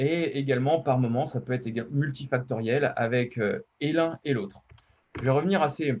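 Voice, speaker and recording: This man's voice is somewhat breathy and fairly high, with ordinary pitch variation and a moderate pace. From western France, Deux-Sèvres. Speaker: emergency medicine physician. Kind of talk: conference presentation. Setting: online webinar. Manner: hesitant, many fillers.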